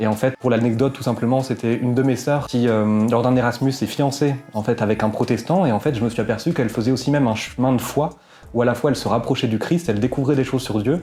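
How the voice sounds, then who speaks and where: Speaking very fast, this man keeps a medium pitch and fairly even intonation. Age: 20s. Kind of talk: interview testimony. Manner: hesitant, many fillers.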